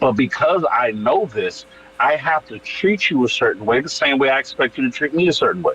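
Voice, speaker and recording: Speech moves at a fairly quick pace with music in the background. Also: man. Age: 30s. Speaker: wrestler and actor. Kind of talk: casual chat. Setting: live stream panel.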